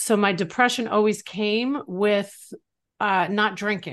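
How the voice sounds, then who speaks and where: A woman with an American accent and a normal speaking voice, medium in pitch with ordinary pitch variation, at a fairly slow pace over a quiet background. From New York. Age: 50s. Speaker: author in addiction recovery. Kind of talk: interview, personal testimony.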